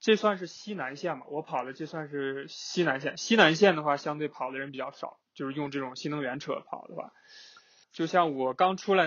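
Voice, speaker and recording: The speaker is a man with a fairly high pitch. He talks at a moderate pace with fairly even intonation. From northeast China. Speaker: road-tripping guest. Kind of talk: casual chat. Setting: remote call. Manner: halting, many fillers.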